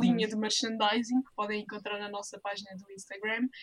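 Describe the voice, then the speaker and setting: Fairly even intonation in a European Portuguese accent. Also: woman. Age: 20s. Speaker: master's student and volunteer. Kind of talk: casual interview.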